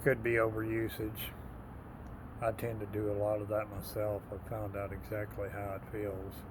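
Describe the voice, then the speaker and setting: A man's fairly low, somewhat breathy voice with an American accent, flat monotone intonation, and audible room echo. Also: moderate pace. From Texas. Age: 60s. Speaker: military veteran. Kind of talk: casual vlog monologue.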